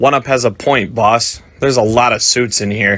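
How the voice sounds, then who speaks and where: Putting on a raspy character voice, a man talks at a moderate pace and a medium pitch. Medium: audio drama. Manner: muttering.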